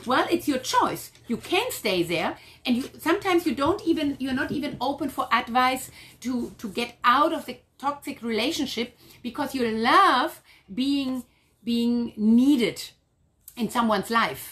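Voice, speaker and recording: In a German accent, a woman talks at a fairly slow pace, her high voice carrying lively intonation. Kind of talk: casual chat.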